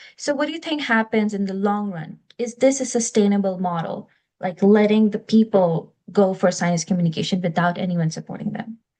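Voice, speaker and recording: A woman's somewhat breathy, dark, mellow voice at medium pitch, fairly quick pace and ordinary pitch variation. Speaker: podcast host. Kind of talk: interview.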